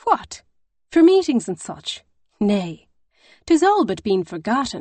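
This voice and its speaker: A shrill put-on character voice goes at a fairly slow pace with very wide pitch swings. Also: woman, fairly high pitch for a woman. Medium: read story.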